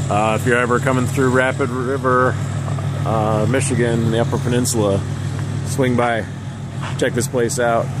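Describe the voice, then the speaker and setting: Loud background noise sits behind a man speaking at a moderate pace. The sound is dry with no echo, and he leaves long, frequent pauses. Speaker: travel vlogger. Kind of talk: casual vlog chat. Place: street. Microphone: phone near.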